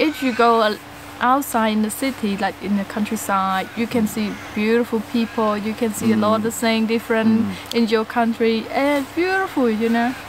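Over noticeable background noise, a woman with a Cambodian accent speaks at a moderate pace with ordinary pitch variation, in a dry sound with no echo. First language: Khmer. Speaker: co-host, vlogger's wife. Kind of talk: casual chat. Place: garden.

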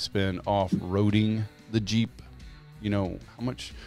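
Against faint background music, a man speaks with a fairly low pitch in a dry sound with no echo. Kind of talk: casual podcast discussion. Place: studio. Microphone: studio mic.

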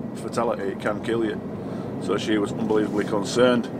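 A man speaks at a fairly quick pace. Loud background noise surrounds him. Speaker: truck driver vlogger. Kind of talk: casual vlog chat. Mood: calm, slightly concerned. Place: car.

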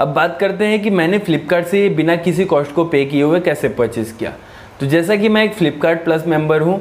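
This man has a high voice. His pitch varies in an ordinary way. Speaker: tech youtuber. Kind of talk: casual vlog chat. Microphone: lapel.

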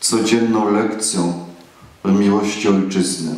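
A man with a fairly low pitch speaks at a very slow pace with fairly even intonation. Audible room echo surrounds his voice. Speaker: priest. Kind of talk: sermon. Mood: solemn patriotic. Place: church. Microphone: camera far.

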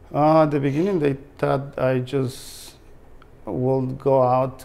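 Delivered very slowly in a Mexican accent, the speech has monotone, flat intonation. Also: man. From Mexico. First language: Spanish. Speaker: treasure hunter, heavy equipment operator. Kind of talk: interview answer. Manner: hesitant, halting. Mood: calm, friendly. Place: home room. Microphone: lapel.

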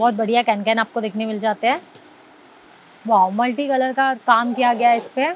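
The voice moves at a fairly slow pace with fairly even intonation, in a dry sound with no echo. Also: woman. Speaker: market vlogger. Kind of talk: product showcase commentary. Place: shop.

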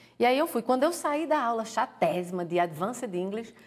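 A woman with a fairly high pitch speaks at a moderate pace, her pitch swinging very widely over a quiet background. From Pernambuco, Brazil. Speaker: author, former doctor. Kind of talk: interview. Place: studio. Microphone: lapel.

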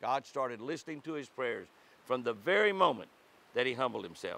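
A man's bright, sharp tone at a moderate pace, dry with no echo. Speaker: devotional host. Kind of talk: devotional reading and tutorial. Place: forest.

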